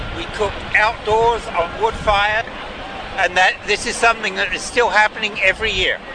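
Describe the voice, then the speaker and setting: A man at a high pitch and moderate pace, monotone and flat, with crowd noise in the background. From England. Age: 70s. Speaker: protester. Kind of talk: interview. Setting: outdoors.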